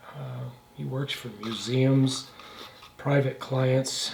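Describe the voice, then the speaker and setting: A man with a medium pitch and ordinary pitch variation speaks at a very slow pace. Noticeable background noise and audible room echo fill the recording. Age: 70s. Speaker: instrument restorer and woodworker. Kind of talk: workshop tutorial. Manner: casual, halting with fillers.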